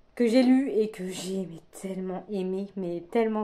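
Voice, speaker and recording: A woman speaks in a dark, mellow tone at a medium pitch. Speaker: book vlogger. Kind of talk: casual vlog chat. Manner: hesitant, many fillers.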